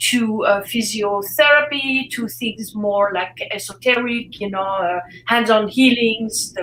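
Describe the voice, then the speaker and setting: A woman's fairly high voice with a French accent, fairly slow and fairly even, with hardly any pauses. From Switzerland. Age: 60s. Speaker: fitness expert and author. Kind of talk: interview. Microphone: echo.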